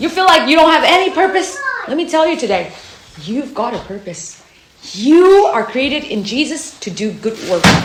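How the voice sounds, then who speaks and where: An animated voice with very wide pitch swings moves at a moderate pace through audible room echo and noticeable background noise. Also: woman, high pitch for a woman. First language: not English. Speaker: camp devotion speaker. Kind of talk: sermon.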